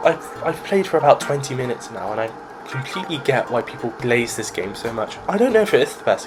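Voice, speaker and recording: Fairly quick man with a British accent and very wide pitch swings, over noticeable background noise. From Britain. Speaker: gaming YouTuber. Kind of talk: gameplay commentary. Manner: casual, rambling.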